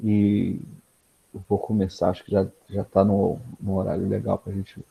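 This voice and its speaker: Dry and close with no echo, a man's fairly low, dark, mellow voice moves at a moderate pace in a monotone, flat intonation. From Brazil, Niterói (Rio de Janeiro state). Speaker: PhD researcher, speaker. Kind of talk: lecture. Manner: casual with many fillers and repetitions.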